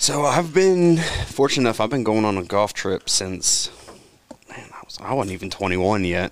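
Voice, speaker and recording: Over noticeable background noise, a man at a medium pitch speaks at a moderate pace with very wide pitch swings and big swings in loudness. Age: 20s. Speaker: amateur golfer, league member. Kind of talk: casual chat.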